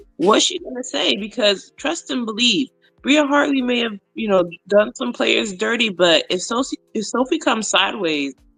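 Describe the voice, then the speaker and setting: A woman's fairly high voice with very wide pitch swings, at a moderate pace, music in the background. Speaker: sports podcast co-host. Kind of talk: casual chat.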